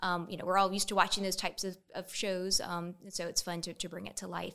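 Speaking at a fairly quick pace with a Southern US accent, a woman uses a medium pitch, fairly even intonation and a bright, sharp tone. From Columbia, South Carolina. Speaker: volunteer leader. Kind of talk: interview.

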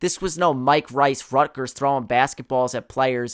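A man with an ordinary speaking voice talks at a moderate pace, medium pitch and fairly even intonation, in a very clean recording with a silent background. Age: 20s. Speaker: sports podcast host. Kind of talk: solo sports commentary podcast.

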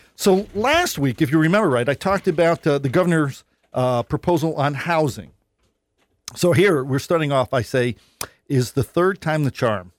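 Recorded very cleanly against a silent background with a dry, close sound and no echo, a man with an American accent and a plain, everyday voice talks at a moderate pace, fairly high in pitch, with lively intonation. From New York North Country. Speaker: state senator. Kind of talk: radio interview. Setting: studio.

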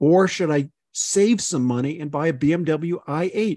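A man's dark, mellow voice comes through dry and close with no echo over a quiet background. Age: 60s. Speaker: podcast host, gastroenterologist and automotive journalist. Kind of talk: casual chat.

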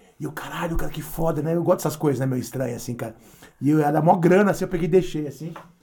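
Amid noticeable background noise, a man speaks at a very fast pace with a fairly high pitch. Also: ordinary pitch variation. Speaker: podcast host and punk musician. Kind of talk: casual chat.

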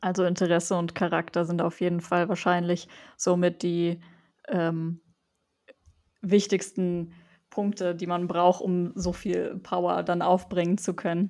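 On a very clean recording with a silent background, a woman speaks at a fairly low pitch in monotone, flat intonation, with long, frequent pauses. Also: fairly slow pace. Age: 20s. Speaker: student podcast host. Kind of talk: interview.

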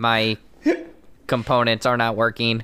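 A man puts on a robotic character voice at a medium pitch, speaking at a moderate pace with monotone, flat intonation.

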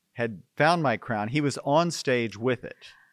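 A man with an American accent speaks at a medium pitch in an unremarkable speaking voice, with ordinary pitch variation. The recording is very clean with a silent background and a dry, close sound with no echo. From Houston, Texas. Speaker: actor and theater director. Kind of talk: casual interview.

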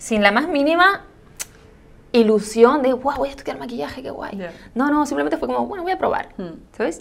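A woman's high-pitched voice with very wide pitch swings, big shifts in loudness and a fairly quick pace, over noticeable background noise. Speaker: makeup artist and content creator. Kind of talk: casual interview chat.

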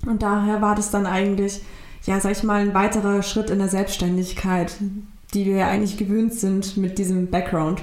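Woman at medium pitch and moderate pace, monotone and flat in intonation, very even in loudness, with audible room echo and noticeable background noise. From Germany, migrant family. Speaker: law graduate. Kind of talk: interview. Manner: halting.

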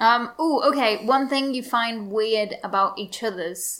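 At a fairly slow pace, a woman with an English accent speaks at a fairly high pitch with ordinary pitch variation. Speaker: podcast co-host, PhD student. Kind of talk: casual chat.

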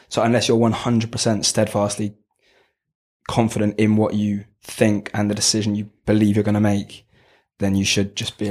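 A man with a London accent, fairly low in pitch, flat and monotone, on a very clean recording with a silent background. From southwest London. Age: 20s. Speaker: business student on placement. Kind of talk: casual interview.

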